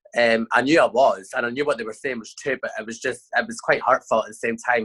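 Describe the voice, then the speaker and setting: A man talking at a fairly quick pace, with a dry, close sound and no echo. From Scotland. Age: 20s. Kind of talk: interview answer.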